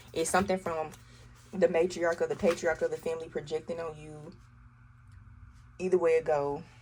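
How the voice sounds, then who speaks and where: A woman with a strong Southern US accent talks fairly quickly in a fairly low voice. Her loudness swings widely, and she takes long, frequent pauses. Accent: thick Southern US. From US South, Arkansas. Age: 30s. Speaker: tarot reader. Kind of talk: tarot reading to camera. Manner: animated.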